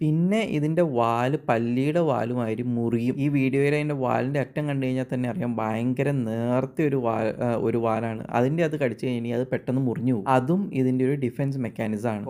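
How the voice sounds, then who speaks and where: This man has a plain, everyday voice at a medium pitch. The pitch varies in an ordinary way. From Kerala, India. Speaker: wildlife documentary narrator. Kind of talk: nature documentary narration.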